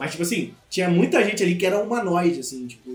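A man talks in a fairly high voice over noticeable background noise. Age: 20s. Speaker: podcast co-host. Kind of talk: casual chat.

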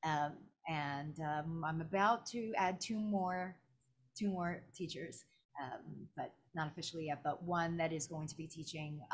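Somewhat breathy and fairly low in pitch, a woman speaks at a fairly slow pace with ordinary pitch variation. She leaves long, frequent pauses. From New York City (Brooklyn). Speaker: voice actor and voice acting teacher. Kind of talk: casual interview.

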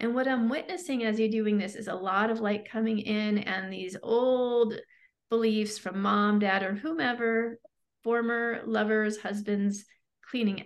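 A woman's voice, a plain, everyday voice, fairly high in pitch, with fairly even intonation and a fairly slow pace. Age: 40s. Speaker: breakthrough coach and therapist. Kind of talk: guided meditation. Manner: slow, soothing, calm, hypnotic, repetitive guiding cadence.

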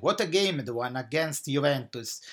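A man speaks with an Italian accent. The recording is very clean, with a silent background. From Italy, Naples. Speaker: football podcaster. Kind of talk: match analysis podcast. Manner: hesitant, many filler uhs.

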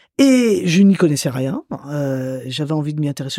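A woman's dark, mellow tone with lively intonation at a fairly slow pace. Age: 60s. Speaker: writer and storyteller. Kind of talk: interview, personal memories.

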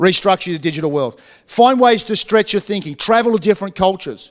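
A man with an Australian accent talks at a fairly quick pace with ordinary pitch variation. The sound is dry and close with no echo, the recording very clean against a silent background. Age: 40s. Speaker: pastor. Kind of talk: sermon. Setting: church.

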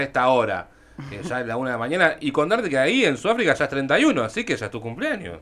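The man's voice sits at a medium pitch. It swings very widely up and down. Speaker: radio host. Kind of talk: interview.

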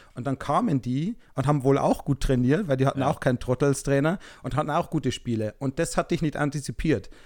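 A man speaks very fast at a fairly high pitch with ordinary pitch variation, in a dry, close sound with no echo on a very clean recording with a silent background. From small town in Germany. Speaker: podcast co-host. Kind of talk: casual chat.

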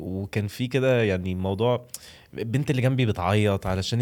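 In an Egyptian accent, a man talks at a moderate pace with a fairly low pitch and ordinary pitch variation, in a very clean recording with a silent background. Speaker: food content creator. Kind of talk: casual podcast interview.

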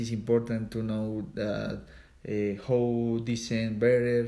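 A man speaks with a Spanish accent in a dark, mellow tone. His intonation is monotone and flat. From Colombia, Ubate. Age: 20s. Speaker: cycling coach and cyclist. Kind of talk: English practice interview. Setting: at home. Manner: halting, frequent repetitions.

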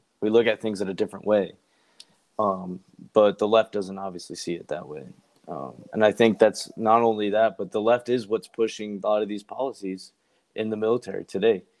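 The speaker has a plain, everyday voice with an American accent, ordinary pitch variation, and big swings in loudness. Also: man, fairly low pitch for a man, fairly quick pace. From rural US. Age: 20s. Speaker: navy sailor. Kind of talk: casual chat. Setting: remote call.

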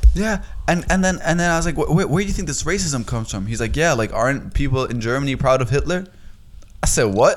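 Talking at a very fast pace with lively intonation, a man with a fairly high pitch and an American accent is heard amid audible room echo. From Boston, US. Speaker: podcast co-host. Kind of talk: casual chat. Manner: animated.

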